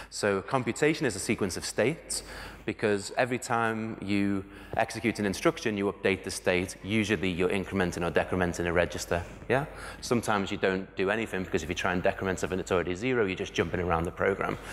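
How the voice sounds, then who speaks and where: Talking at a very fast pace, a man with a British accent has a fairly low pitch and ordinary pitch variation. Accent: regional UK. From UK. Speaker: conference speaker, software developer. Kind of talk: conference talk. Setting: stage with audience. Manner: fast when excited.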